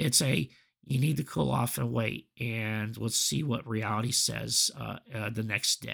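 This man talks at a fairly slow pace with a fairly low pitch and some vocal fry. His intonation is lively. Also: very clean recording, silent background. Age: 40s. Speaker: podcast host. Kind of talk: solo reflective monologue. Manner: halting, many fillers.

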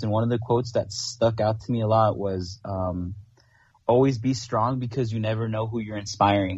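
A somewhat breathy man's voice at a medium pitch, with fairly even intonation and a moderate pace. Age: 20s. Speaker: aspiring paramedic. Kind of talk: casual chat.

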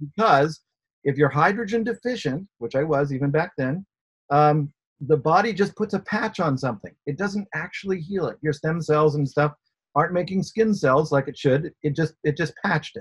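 This man has an ordinary speaking voice, fairly high in pitch, at a moderate pace, with a dry, close sound and no echo. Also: ordinary pitch variation. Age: 60s. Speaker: inventor. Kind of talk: interview.

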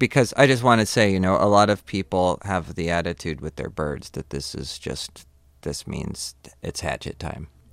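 This man's very deep, low voice carries vocal fry and lively intonation. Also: moderate pace. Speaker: podcast co-host. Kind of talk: casual chat. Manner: joking.

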